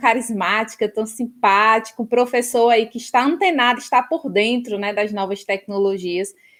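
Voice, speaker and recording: Someone speaks with a northeastern Brazilian accent and fairly even intonation. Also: woman. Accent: northeastern Brazilian (Ceará). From Ceará, Brazilian Northeast. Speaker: professor. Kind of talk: interview.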